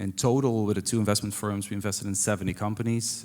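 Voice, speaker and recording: In a Dutch accent, a man with a fairly low pitch speaks at a very fast pace with fairly even intonation. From Netherlands. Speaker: venture investor. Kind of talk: panel discussion. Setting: stage with audience.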